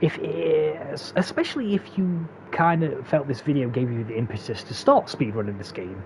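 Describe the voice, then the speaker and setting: A man with a Derbyshire accent speaks at a moderate pace. His pitch swings very widely, and there is noticeable background noise. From England, Derbyshire. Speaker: gaming speedrun tutorial creator. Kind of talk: tutorial narration outro. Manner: halting, many fillers and repeats.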